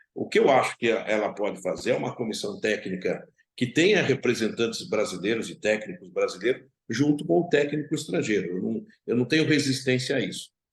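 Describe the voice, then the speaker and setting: A man speaks at a fairly quick pace. He has a plain, everyday voice. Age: 60s. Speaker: football club president. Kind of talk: interview.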